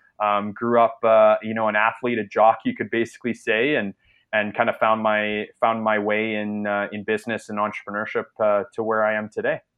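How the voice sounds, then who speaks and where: With a Canadian accent, a man speaks in a monotone, flat way at a fairly low pitch. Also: fairly quick pace. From Canada. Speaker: entrepreneur, former junior hockey player. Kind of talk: casual interview. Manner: many fillers and repetitions.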